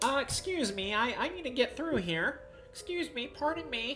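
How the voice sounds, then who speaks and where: Over clear music in the background, a nasal put-on character voice speaks at a moderate pace. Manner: polite, hesitant.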